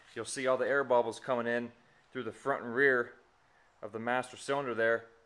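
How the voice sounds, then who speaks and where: Speaking at a fairly quick pace, a man keeps his intonation monotone and flat. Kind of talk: tutorial. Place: garage. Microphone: phone near.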